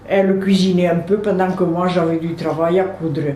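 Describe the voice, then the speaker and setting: A woman is speaking. Audible room echo and noticeable background noise surround her voice. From southern France, Aude near Carcassonne. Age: 80s+. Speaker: retired seamstress, interviewee. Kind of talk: personal life-story interview. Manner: halting, with frequent hesitations.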